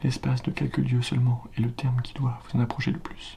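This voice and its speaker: The voice is whispering and soft-spoken. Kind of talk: ASMR book reading, classical text read aloud for relaxation. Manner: whispered, soft.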